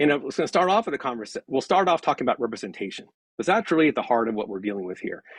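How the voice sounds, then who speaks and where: With vocal fry and very wide pitch swings, a man with a fairly high pitch talks at a very fast pace in a dry, close sound with no echo. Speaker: political science professor. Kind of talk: lecture. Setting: video call.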